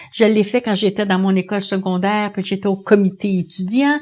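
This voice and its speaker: A woman has an unremarkable speaking voice with medium pitch and fairly even intonation. She goes at a moderate pace on a very clean recording with a silent background. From Quebec, Montreal. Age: 60s. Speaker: union leader. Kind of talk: interview testimony.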